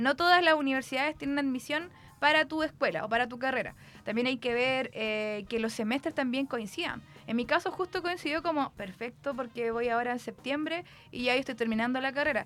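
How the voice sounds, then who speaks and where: A woman with a high voice talks at a fairly quick pace, her pitch varying in an ordinary way. Music plays in the background. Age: 30s. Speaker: student. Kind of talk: interview.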